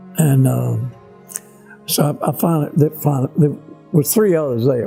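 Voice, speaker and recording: Music plays in the background as a man speaks with a Tennessee accent. His pitch sits fairly high. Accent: Southern American, Tennessee. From Grand Junction, Tennessee. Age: 80s+. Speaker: WWII fighter pilot and former POW. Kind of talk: interview answer, oral history.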